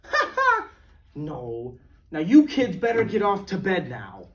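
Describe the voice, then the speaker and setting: Someone speaks in a put-on character voice at middle pitch and a fairly slow pace, with big swings in loudness. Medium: read story. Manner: laughing, brisk.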